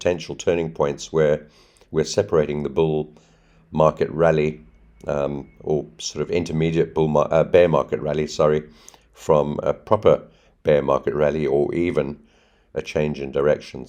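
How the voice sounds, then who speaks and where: In a put-on character voice, a man mumbles at a moderate pace with a very deep, low pitch and monotone, flat intonation. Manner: mumbling, stumbling.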